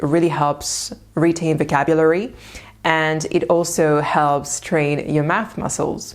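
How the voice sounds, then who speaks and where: Very slowly and in a French accent, a woman speaks with a very deep, low voice and ordinary pitch variation. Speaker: language-learning youtuber. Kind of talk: tutorial.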